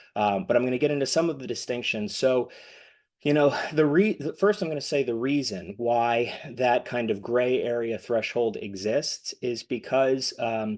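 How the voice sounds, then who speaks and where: Against a quiet background, an unremarkable speaking voice shows ordinary pitch variation at a moderate pace. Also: man, medium pitch for a man. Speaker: M&A advisor for accounting firms. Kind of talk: webinar presentation.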